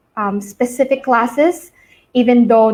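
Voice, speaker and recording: A woman speaks in a Filipino accent at a fairly slow pace. Her pitch is fairly high, with ordinary variation. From northern Philippines. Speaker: entrepreneur, alumna. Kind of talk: interview.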